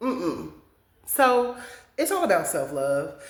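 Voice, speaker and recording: A woman speaks in an animated tone at a moderate pace. Audible room echo surrounds her voice. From Kansas, US Midwest. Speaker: podcast host. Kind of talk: casual monologue. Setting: home studio, on camera.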